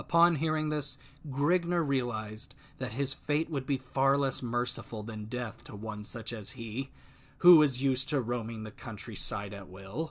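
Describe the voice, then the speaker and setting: A man talks at a moderate pace with an unremarkable speaking voice. His pitch sits in the middle range and varies in an ordinary way. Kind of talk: audiobook narration.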